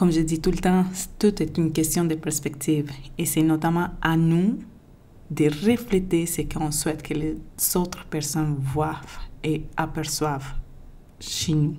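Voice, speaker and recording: A woman speaks with a dark, mellow tone and a very deep, low pitch, in a non-native accent, at a fairly slow pace with long, frequent pauses. Her intonation stays fairly even, and the room echo is audible. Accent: foreign accent in French. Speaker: podcaster. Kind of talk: podcast monologue.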